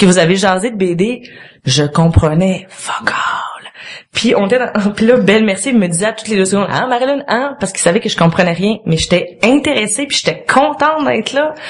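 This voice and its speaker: A woman with a Quebec accent speaks at a fairly quick pace, her fairly high voice full of lively intonation, against noticeable background noise. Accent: Québécois French. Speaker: guest. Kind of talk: casual chat. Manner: talkative.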